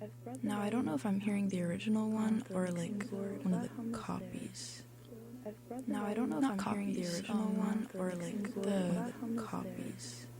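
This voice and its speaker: The speaker is soft-spoken and talks at a moderate pace. Background noise is noticeable. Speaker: radio host. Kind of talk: solo on-air monologue. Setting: radio studio.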